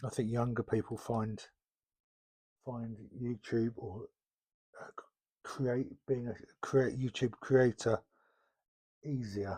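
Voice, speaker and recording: A very slow, relaxed delivery with long, frequent pauses, a dark, mellow, somewhat breathy tone, monotone, flat intonation, and a dry, close sound with no echo. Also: man, medium pitch for a man. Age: 60s. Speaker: LEGO YouTuber. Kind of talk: casual talk while building. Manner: halting, many fillers.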